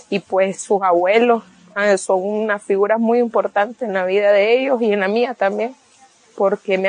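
A woman with a medium pitch talks at a fairly slow pace, her intonation fairly even. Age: 30s. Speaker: single mother and beautician. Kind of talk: personal testimony. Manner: hesitant, with frequent fillers.

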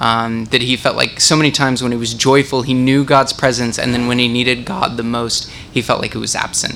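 A man with a medium-pitched voice talks at a fairly quick pace in a flat monotone, barely pausing, over noticeable background noise. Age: young adult. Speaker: young adult group leader. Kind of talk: group discussion facilitation. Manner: halting.

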